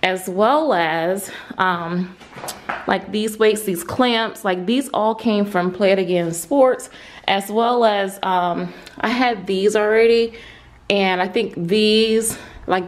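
Very slow pace with ordinary pitch variation. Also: woman. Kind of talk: casual vlog chat. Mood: excited, happy. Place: garage. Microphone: phone near.

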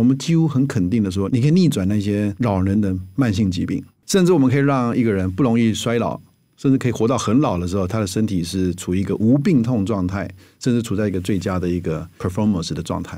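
A man's fairly low, dark and mellow voice with lively intonation at a fairly quick pace, on a very clean recording with a silent background. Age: 50s. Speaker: physician and health author. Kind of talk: interview.

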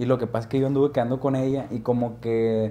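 A man with an animated tone at a moderate pace. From Mexico. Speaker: podcast host. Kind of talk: casual chat. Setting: studio. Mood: cheerful, laughing, animated. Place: studio. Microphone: lapel.

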